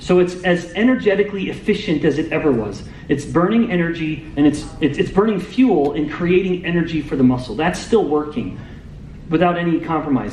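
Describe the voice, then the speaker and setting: Loud and high-pitched, a man talks fairly quickly with ordinary pitch variation, backed by noticeable background noise and audible room echo. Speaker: metabolic scientist. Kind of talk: lecture.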